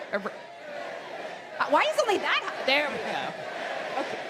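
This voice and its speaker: Against noticeable background noise and audible room echo, a woman speaks at an extremely high pitch. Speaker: game developer presenting at a fan convention. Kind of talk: live stage presentation.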